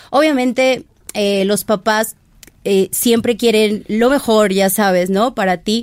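Her medium-pitched voice marks this speaker as a woman, and her intonation stays fairly even. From Mexico, southern Veracruz coast. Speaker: fashion stylist. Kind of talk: casual interview chat.

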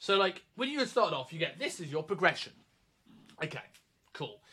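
A man with a British accent, high in pitch, with very wide pitch swings in a raised, projected voice at a moderate pace. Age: 30s. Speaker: personal trainer and coach educator. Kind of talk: casual chat. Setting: remote recording. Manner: halting, repeats words.

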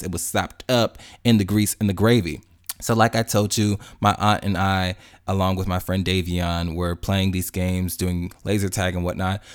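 An animated man with an American accent, fairly low in pitch, at a moderate pace, on a very clean recording with a silent background. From Chicago. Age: 20s. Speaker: podcast host. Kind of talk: casual monologue.

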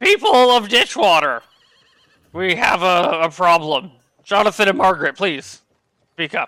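Using a put-on character voice, a man talks at a high pitch and a moderate pace with lively intonation and long, frequent pauses. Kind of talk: formal town address.

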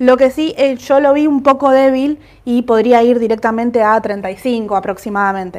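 In a very clean recording with a silent background, a woman talks at a high pitch and a fairly slow pace with ordinary pitch variation. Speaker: market analyst co-host. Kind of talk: market commentary livestream.

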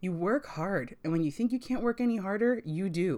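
A woman's plain, everyday voice, with lively intonation. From US, Puerto Rican family. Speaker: book podcast host. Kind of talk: solo book review podcast.

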